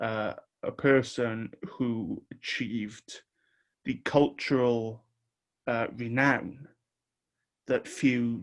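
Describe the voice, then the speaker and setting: A man speaks at medium pitch with a British accent. His intonation is fairly even. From Wales. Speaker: podcast host. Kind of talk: podcast intro and tribute.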